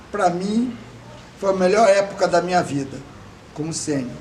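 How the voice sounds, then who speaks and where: High-pitched male voice in a room with audible echo and noticeable background noise. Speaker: veteran scout leader. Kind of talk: oral history interview. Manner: conversational, with hesitations.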